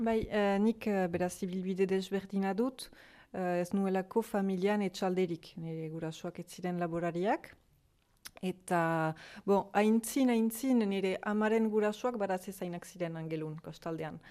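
Against a quiet background, a woman speaks at medium pitch with ordinary pitch variation. Her tone is dark and mellow. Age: 30s. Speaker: fruit farmer. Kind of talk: interview. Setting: farmhouse.

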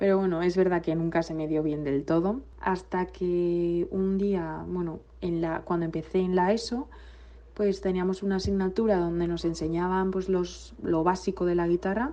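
Fairly low in pitch, this woman's voice is an ordinary speaking voice. She talks at a moderate pace with fairly even intonation. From Basque Country, Villabona. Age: 20s. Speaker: singer. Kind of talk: recorded self-introduction.

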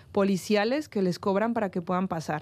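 A woman with a dark, mellow tone is heard against a quiet background. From northern Mexico. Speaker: researcher on migration. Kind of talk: panel discussion.

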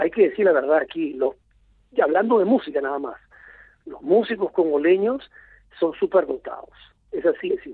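A man speaks at a moderate pace with long, frequent pauses. His loudness shows big swings. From Lima, Peru. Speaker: film director. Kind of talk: interview. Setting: phone call.

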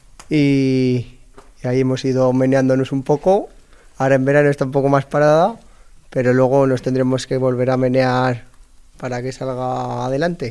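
A man with a medium-pitched, dark, mellow voice speaks in a monotone, flat way, leaving long, frequent pauses. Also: moderate pace. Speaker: farmer. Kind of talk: casual chat.

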